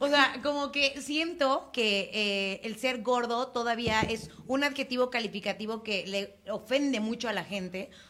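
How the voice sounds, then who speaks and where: Her voice sits high in pitch, with ordinary pitch variation. The woman talks at a fairly slow pace with hardly any pauses. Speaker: podcast co-host. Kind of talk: casual chat. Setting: studio.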